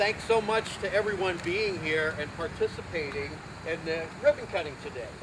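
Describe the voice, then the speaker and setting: Loud and at a moderate pace, a man with an American accent speaks in a high pitch with ordinary pitch variation over noticeable background noise. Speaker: community volunteer. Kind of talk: speech at a public ceremony. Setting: outdoors with audience. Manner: animated.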